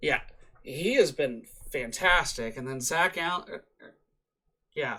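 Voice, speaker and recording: Bright, sharp, high-pitched male voice with lively intonation at a fairly slow pace. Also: big swings in loudness. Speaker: sports podcast co-host. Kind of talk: casual chat. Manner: halting, stumbling over words.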